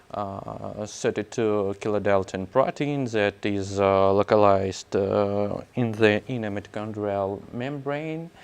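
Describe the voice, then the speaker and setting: Against a quiet background, a man with a Russian accent and a fairly low pitch speaks at a very slow pace. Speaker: scientist. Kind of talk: conference talk. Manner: halting, many fillers.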